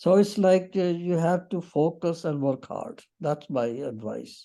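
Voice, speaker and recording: The speaker talks at a fairly slow pace in a Punjabi accent. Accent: Indian English (Punjabi). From Punjab, Pakistan/India. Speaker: interviewee, retired teacher. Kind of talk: interview. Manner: halting.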